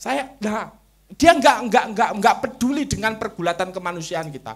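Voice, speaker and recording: A man's extremely high pitch rises and falls with lively intonation. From Java, Indonesia. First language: Javanese (speaking Indonesian). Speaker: Islamic culture thinker. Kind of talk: interview talk on religion and culture.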